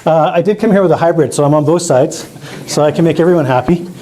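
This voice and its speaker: A man with an Albertan accent talks at a very fast pace and high pitch, with audible room echo and noticeable background noise. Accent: Canadian (Alberta). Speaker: biologist and rural politician. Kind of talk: public presentation. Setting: community hall with audience. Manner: loud; animated.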